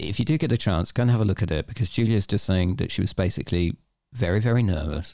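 On a very clean recording with a silent background, a man with an English accent and a fairly low, dark, mellow voice talks at a very fast pace with lively intonation and very even loudness. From England. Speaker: podcast host. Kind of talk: interview.

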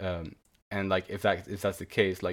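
Speaking fairly quickly with monotone, flat intonation, a man with a fairly low pitch is heard on a very clean recording with a silent background. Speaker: manga podcast host. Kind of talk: casual chat. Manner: halting, many repeated words.

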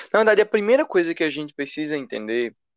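The recording is dry and close, with no echo. The speaker is a man. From Brazil, Recife (Pernambuco). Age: 20s. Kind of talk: casual chat, explanatory.

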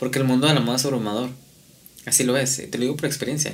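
In a room with audible echo, a man with a Mexican accent speaks at a medium pitch in a monotone, flat delivery. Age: 20s. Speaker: fashion designer. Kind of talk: casual chat.

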